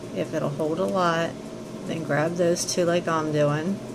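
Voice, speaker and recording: With noticeable background noise and audible room echo, a woman talks at a moderate pace in a fairly low pitch. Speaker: craft tutorial maker. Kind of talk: tutorial.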